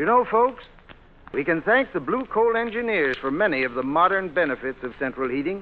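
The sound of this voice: A man speaks at a moderate pace with a fairly high pitch. His pitch swings widely.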